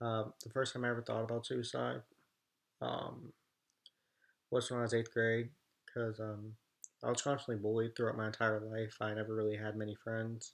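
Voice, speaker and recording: At a moderate pace, a man speaks in a flat monotone with long, frequent pauses over a quiet background. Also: medium pitch for a man. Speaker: vlogger. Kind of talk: personal testimony. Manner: halting.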